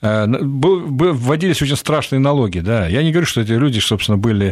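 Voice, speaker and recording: Moving at a moderate pace, a man uses a normal speaking voice whose pitch varies in an ordinary way. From Central Asia, Fergana Valley. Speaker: Middle East analyst, think tank director. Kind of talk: radio interview.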